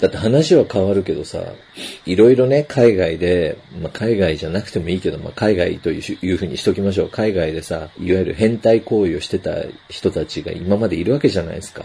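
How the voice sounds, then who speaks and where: A man's fairly low voice at a fairly quick pace, with ordinary pitch variation, big swings in loudness and noticeable background noise. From Japan. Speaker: podcast host. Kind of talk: casual chat. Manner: speaking quietly.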